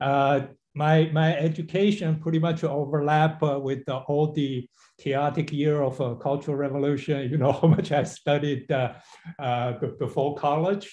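A man speaks slowly-ish in a fairly high, somewhat breathy voice with fairly even intonation. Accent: Chinese. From China. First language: Chinese. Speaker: engineering executive. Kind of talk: webinar talk. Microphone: webcam.

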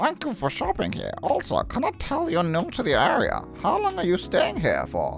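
A man speaks at a moderate pace in a put-on character voice pitched extremely high, with clear music playing in the background. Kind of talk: polite, customer service.

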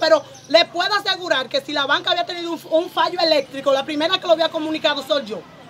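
Extremely high in pitch, a woman speaks at a very fast pace in a bright, sharp tone. Her pitch varies in an ordinary way, with faint background noise.

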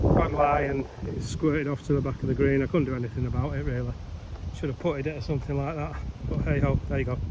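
Amid loud background noise, a man talks at a fairly quick pace in a dry sound with no echo. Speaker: amateur golfer reviewing course. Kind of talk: casual commentary. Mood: disappointed, critical. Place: open country. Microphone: phone near.

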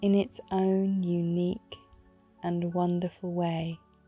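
A woman's fairly low, monotone voice at a very slow pace, set against music in the background. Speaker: meditation guide. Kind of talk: guided meditation. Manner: slow, soft-spoken, reassuring.

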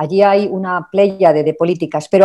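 Against a quiet background, a woman talks in a normal speaking voice, fairly low in pitch, at a moderate pace. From Spain. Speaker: labour and social protection expert; panelist. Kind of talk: webinar presentation. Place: home room. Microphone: video call.

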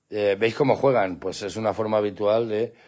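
A man's fairly low voice at a moderate pace. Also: quiet background. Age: 50s. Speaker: pet channel host. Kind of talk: live stream chat; casual vlog chat. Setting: at home with dogs at night. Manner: animated. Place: garden. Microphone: phone near.

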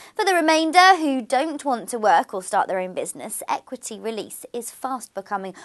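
A woman's high voice with very wide pitch swings over a quiet background. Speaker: news presenter. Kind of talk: news reading. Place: studio.

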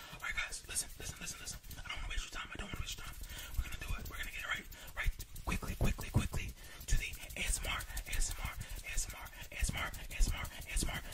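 A man is whispering. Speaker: ASMR creator. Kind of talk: ASMR intro chat. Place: home room. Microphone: studio mic.

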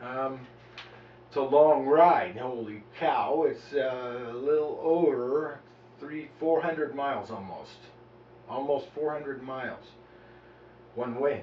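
A man with a fairly high pitch speaks very slowly, with long, frequent pauses and fairly even intonation. His loudness swings a lot, and the recording has audible room echo and light background noise. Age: 40s. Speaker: medical marijuana activist vlogger. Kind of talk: personal video diary. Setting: at home, on camera. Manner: halting, many fillers. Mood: earnest, complaining. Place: home room. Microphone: camera far.

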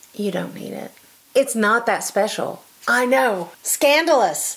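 This woman speaks with ordinary pitch variation. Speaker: sewing vlogger. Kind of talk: casual vlog chat. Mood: playful, chatty. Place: home room.

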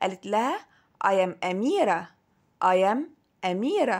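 A woman with an Egyptian accent speaks at a medium pitch with lively intonation. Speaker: English teacher. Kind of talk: lesson for young children.

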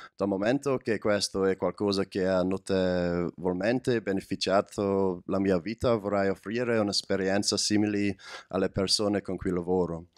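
There is a quiet background as a man talks in a fairly low pitch. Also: fairly even intonation, moderate pace. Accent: English. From Scotland. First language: English (speaking Italian). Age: 20s. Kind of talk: testimony. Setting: stage with audience. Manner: halting. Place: hall. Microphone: handheld.

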